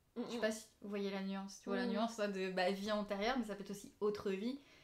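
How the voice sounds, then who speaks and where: This is a woman talking. Her pitch is fairly high. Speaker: hypnosis practitioner. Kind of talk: casual live talk to camera.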